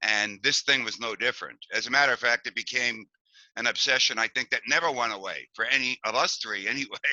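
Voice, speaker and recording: A man with an American accent talks at a very fast pace in a medium pitch with a bright, sharp tone. His intonation is fairly even, and the sound is dry and close with no echo. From Hoboken, New Jersey. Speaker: musician, band drummer. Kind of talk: oral history interview.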